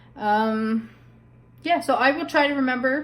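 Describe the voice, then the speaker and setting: In a normal speaking voice, a woman talks at a moderate pace with lively intonation. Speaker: crochet vlogger. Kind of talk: casual vlog talk.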